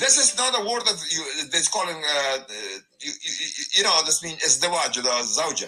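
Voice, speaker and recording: A man speaking at a moderate pace, with music playing in the background. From Afghanistan, raised in Germany. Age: 50s. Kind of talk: testimony. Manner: loud; halting.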